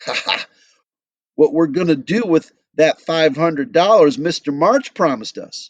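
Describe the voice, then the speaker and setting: Putting on a whiny, cackling character voice, a man speaks at a high pitch and a moderate pace with lively intonation. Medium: read story.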